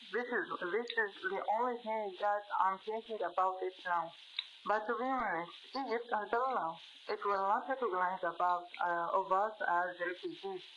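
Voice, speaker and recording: With ordinary pitch variation, a woman talks at a moderate pace as noticeable background noise fills the recording. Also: medium pitch for a woman. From Gaza, Palestine. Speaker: journalist. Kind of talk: interview. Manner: halting, many fillers and repetitions.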